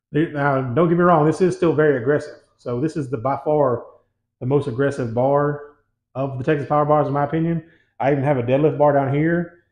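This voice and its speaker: Against a quiet background with audible room echo, a man talks at a fairly quick pace with fairly even intonation. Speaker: home gym equipment reviewer. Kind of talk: product review. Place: gym.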